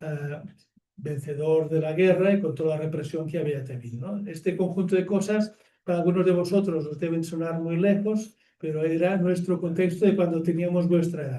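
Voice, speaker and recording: At a moderate pace, a dark, mellow tone comes through with fairly even intonation and audible room echo. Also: man, high pitch for a man. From Catalonia, Barcelona. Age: 70s. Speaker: nonviolence activist. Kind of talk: public talk. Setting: theatre with audience. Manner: conversational with fillers and restarts.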